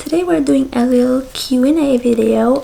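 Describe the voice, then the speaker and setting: Against noticeable background noise, a woman with a high pitch talks at a moderate pace. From Austria. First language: German. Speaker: content creator. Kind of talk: casual Q&A vlog. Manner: hesitant, many fillers.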